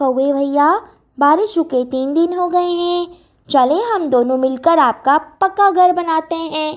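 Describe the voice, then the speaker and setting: In a cartoonish character voice, a woman speaks at an extremely high pitch. Her pace is fairly slow. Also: ordinary pitch variation. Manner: polite, warm.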